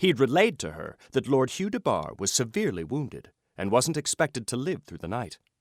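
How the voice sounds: Quiet surroundings behind a natural reading voice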